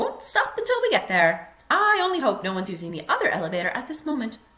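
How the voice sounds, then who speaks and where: A woman does a put-on character voice, high-pitched and cheerful. She talks at a very fast pace. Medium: read story. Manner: brisk, cheerful.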